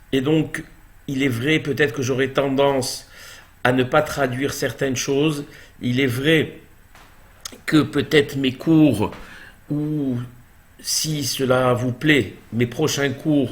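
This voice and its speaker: A man speaks very slowly in a fairly high, monotone, flat voice, with long, frequent pauses. Audible room echo fills the space. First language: Hebrew now dominant over French (speaking French). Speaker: Torah teacher. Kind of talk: religious lecture.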